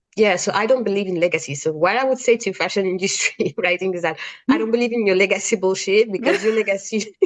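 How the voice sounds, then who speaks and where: This woman talks at a very fast pace with a French accent. Her pitch is medium, with ordinary variation. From France, Cameroonian family. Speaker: freelance fashion writer. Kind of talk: podcast interview.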